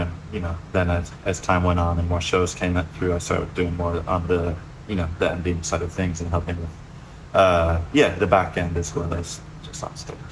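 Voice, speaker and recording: Very deep, low-pitched male speech with monotone, flat intonation and audible room echo. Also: moderate pace. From US, Memphis area. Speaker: bass player, studio owner. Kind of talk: casual interview.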